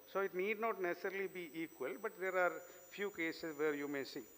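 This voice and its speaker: A high-pitched man with a bright, sharp tone, ordinary pitch variation and a Keralan accent. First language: Malayalam. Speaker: invited speaker. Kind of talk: lecture.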